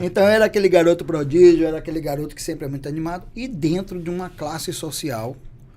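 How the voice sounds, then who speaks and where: A man with a high-pitched voice talks very fast with hardly any pauses, his loudness swinging widely and his pitch varying in an ordinary way over noticeable background noise. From Bahia, Brazil (Salvador). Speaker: beauty entrepreneur. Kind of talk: podcast interview.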